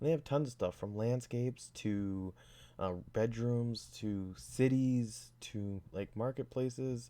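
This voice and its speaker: A man speaks quietly in a dark, mellow tone with ordinary pitch variation. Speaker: hobbyist game developer. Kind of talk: tutorial. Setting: home at night, avoiding waking others. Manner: hesitant, many fillers. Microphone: new mic.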